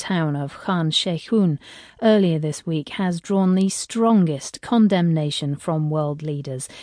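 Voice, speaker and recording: A woman with a British accent, fairly low in pitch, at a fairly slow pace with ordinary pitch variation, in a dry, close sound with no echo and a quiet background. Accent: British English, BBC broadcast. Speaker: radio news presenter. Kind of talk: formal newsreading, scripted broadcast headlines delivered crisply. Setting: studio. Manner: formal, measured, authoritative, steady.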